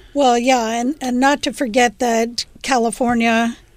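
A woman speaks in a plain, everyday voice with a fairly high pitch. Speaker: LGBT commentator. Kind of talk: casual chat.

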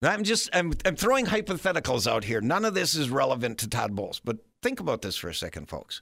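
At a very fast pace with hardly any pauses, a man with an American accent talks fairly high for a man, his bright, sharp tone marked by vocal fry and very wide pitch swings. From Wisconsin, small town. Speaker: radio talk show host. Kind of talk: talk radio monologue.

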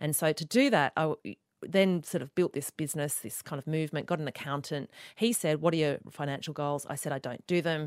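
Fairly quick speech in an Australian accent with ordinary pitch variation, in a very clean, dry, close recording with a silent background and no echo. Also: woman, very deep, low pitch for a woman. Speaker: author and podcaster. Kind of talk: interview conversation.

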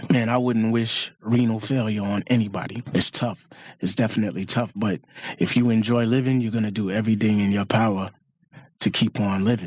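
With a New York accent, a man speaks fairly quickly at a fairly low pitch, his intonation fairly even. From Queens, New York. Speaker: rapper. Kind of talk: interview.

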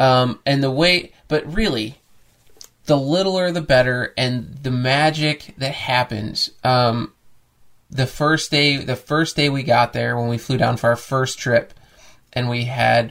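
A man with an American accent speaks in a normal speaking voice at medium pitch. He uses ordinary pitch variation and a fairly slow pace. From US Midwest. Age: 30s. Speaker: podcast co-host, host's husband. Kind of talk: casual chat.

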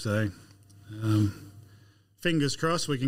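Speech moves at a moderate pace in an Australian accent. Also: man. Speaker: agronomist. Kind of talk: casual chat.

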